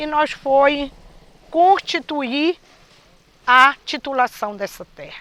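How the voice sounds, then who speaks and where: A raised, projected voice with a bright, sharp tone, a very slow pace, long, frequent pauses, ordinary pitch variation, and a dry, close sound with no echo. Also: woman, high pitch for a woman. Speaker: quilombo community member. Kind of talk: testimony.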